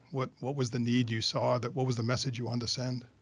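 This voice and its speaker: In a quiet background, a man speaks at a medium pitch with a somewhat breathy voice. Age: 50s. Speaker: podcast host. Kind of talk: interview.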